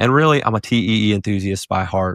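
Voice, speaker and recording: A man is heard in a dry recording with no echo and a quiet background. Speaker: physician podcast host. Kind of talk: podcast introduction and lecture. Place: studio. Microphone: studio mic.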